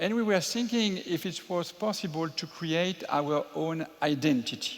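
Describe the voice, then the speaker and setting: A man with a high voice talks fairly slowly, and his pitch varies in an ordinary way. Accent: French. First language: French. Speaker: entrepreneur, theme park developer. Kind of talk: panel talk at public event. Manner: hesitant, with filler sounds.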